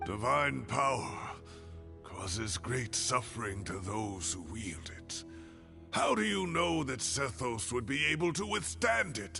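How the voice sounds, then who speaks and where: A man's put-on character voice, fairly low and fairly slow, with clear music in the background. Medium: video game.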